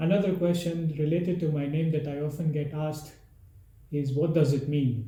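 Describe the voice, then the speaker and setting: A man with an Indian accent speaks at a moderate pace in a fairly high, somewhat breathy voice with a dark, mellow tone. His intonation stays fairly even, and the room echo is audible. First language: Hindi. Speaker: travel vlogger. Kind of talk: casual Q&A monologue.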